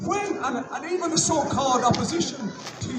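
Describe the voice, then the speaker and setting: Loud and with an Irish accent, a man speaks amid audible room echo and noticeable background noise. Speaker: rally emcee. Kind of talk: rally speech. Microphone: no microphone.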